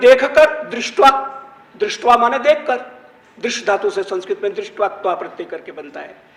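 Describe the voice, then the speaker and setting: Noticeable background noise sits behind a man whose voice shows ordinary pitch variation. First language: Gujarati (speaking Hindi). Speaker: Sanskrit scholar, panelist. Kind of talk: panel discussion talk.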